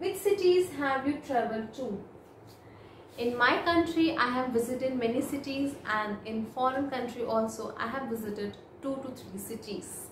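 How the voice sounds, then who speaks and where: A woman with an Indian accent speaks in a high pitch with lively intonation, over light background noise and audible room echo. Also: moderate pace. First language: Hindi. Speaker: IELTS speaking tutor. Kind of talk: model exam answers, tutorial; sample exam answer. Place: home room. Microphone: phone near.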